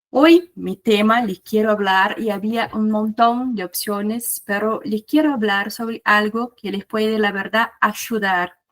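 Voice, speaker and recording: Speaking with hardly any pauses yet at a fairly slow pace, a woman with a fairly high pitch and a Brazilian accent shows ordinary pitch variation in a dry, close sound with no echo. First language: Portuguese (speaking Spanish). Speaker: researcher and conference speaker. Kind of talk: lecture.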